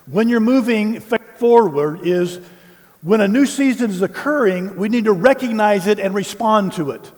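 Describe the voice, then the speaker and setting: This man talks with an American accent in a high pitch, ordinary pitch variation, and noticeable background noise behind him. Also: moderate pace. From US South, Tennessee. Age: 60s. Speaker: pastor. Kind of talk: sermon.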